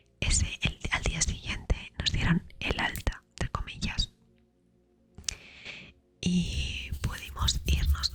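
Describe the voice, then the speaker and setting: Someone whispers at a very slow pace while music plays in the background. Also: woman. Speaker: ASMR creator. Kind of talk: whispered ASMR storytime. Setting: studio, close microphone with relaxing background music. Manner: whispered, soft-spoken.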